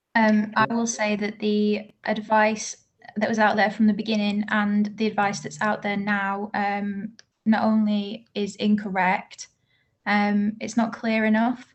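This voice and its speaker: A woman speaks in a fairly high pitch with a flat, monotone delivery. Her voice is somewhat breathy. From Manchester, northern England. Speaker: bereaved relative giving evidence. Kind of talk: oral evidence to a parliamentary group. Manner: formal.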